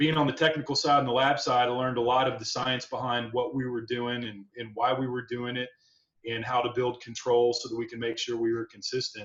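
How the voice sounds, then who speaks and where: This man talks at a fairly quick pace in a medium pitch. His intonation stays monotone and flat. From Kentucky (Louisville). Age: 40s. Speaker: master distiller. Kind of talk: interview. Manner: casual, hesitant with fillers.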